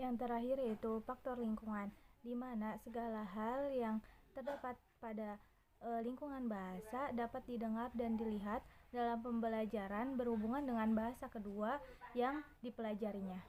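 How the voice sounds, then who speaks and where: Fairly high-pitched woman at a moderate pace, fairly even intonation, noticeable background noise. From Subang, West Java, Indonesia. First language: Sundanese (speaking Indonesian). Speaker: university student. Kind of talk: class presentation.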